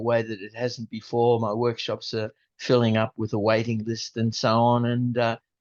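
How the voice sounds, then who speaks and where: His intonation stays monotone and flat. The man's voice sits at a medium pitch. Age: 70s. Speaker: environmental activist. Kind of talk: interview. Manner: halting.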